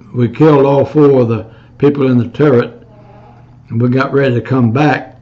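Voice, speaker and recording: A man speaks in a dark, mellow, somewhat breathy tone with fairly even intonation. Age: 80s+. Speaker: Korean War veteran, US Marine. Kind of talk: oral history interview answer. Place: home room. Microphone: webcam.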